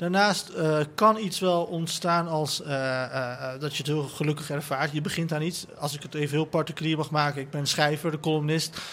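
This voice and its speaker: A man talks at a moderate pace with fairly even intonation. He has an unremarkable speaking voice. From Netherlands, son of migrant worker. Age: 30s. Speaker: writer and columnist. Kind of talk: panel discussion. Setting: live event at a festival.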